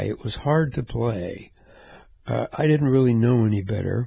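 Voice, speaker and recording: A man with a medium pitch and an American accent, fairly slow pace, ordinary pitch variation, a dark, mellow tone, a somewhat breathy sound, and a quiet background. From US South, Memphis, Tennessee. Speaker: musician and podcast host. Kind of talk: casual storytelling monologue.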